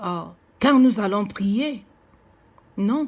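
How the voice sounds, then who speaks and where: A woman with a non-native accent and a fairly high pitch speaks very slowly, somewhat breathy. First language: not French (speaking French). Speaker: preacher. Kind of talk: sermon. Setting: seated, recorded video message. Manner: halting, many hesitations.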